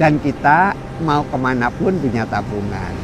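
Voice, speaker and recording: There is noticeable background noise as a man speaks at a fairly slow pace. His intonation is lively. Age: 60s. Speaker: retired regional head. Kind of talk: casual interview. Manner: measured, didactic.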